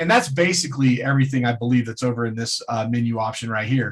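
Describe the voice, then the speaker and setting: The man's voice comes across as somewhat breathy. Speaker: trading webinar presenter. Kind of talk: webinar tutorial.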